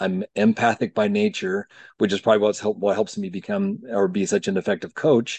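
A man with a plain, everyday voice speaks with an American accent, at fairly low pitch and with fairly even intonation. The sound is dry and close with no echo, over a quiet background. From Utah. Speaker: life coach. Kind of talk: casual interview.

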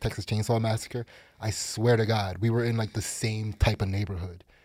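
In a very clean recording with a silent background, a man with a fairly low pitch and a somewhat breathy voice speaks at a fairly quick pace in a monotone, flat intonation. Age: 40s. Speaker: comedian. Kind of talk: casual chat. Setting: studio.

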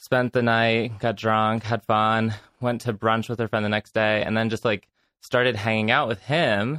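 Flat and monotone, a man's bright, sharp voice comes through dry and close with no echo in a very clean recording with a silent background. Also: medium pitch for a man, moderate pace, very even loudness. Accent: American. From Connecticut. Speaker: actor and bar staff. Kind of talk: casual chat.

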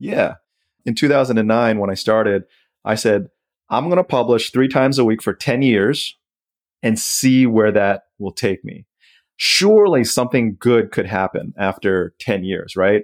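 A man with an unremarkable speaking voice and ordinary pitch variation is heard on a very clean recording with a silent background. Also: medium pitch for a man, fairly slow pace, dry, close sound with no echo. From Southeast Asia, US Foreign Service family. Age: 40s. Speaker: personal finance author and blogger. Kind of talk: interview.

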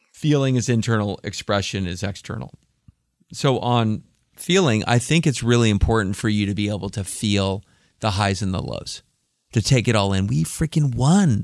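A man with a plain, everyday voice, a moderate pace and ordinary pitch variation, on a very clean recording with a silent background. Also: fairly low pitch for a man. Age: 50s. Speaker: tech company CEO. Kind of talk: interview. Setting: studio.

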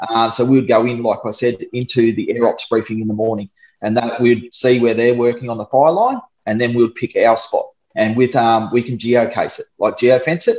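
The speaker talks at a fairly quick pace with an Australian accent and a monotone, flat intonation. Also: man. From Darwin, Australia. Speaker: disaster relief volunteer drone pilot, ex-soldier. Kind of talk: casual interview.

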